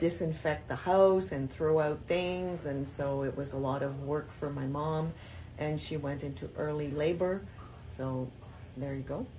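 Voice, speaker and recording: A woman speaks at a fairly slow pace in a very deep, low pitch, with a dark, mellow tone and ordinary pitch variation. Her voice is somewhat breathy, and audible room echo surrounds it. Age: 60s. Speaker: grandmother interviewee. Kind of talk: casual interview.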